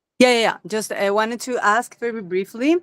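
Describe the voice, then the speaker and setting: A woman speaks with a Spanish accent. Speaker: wellness specialist, attendee. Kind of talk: question on video call.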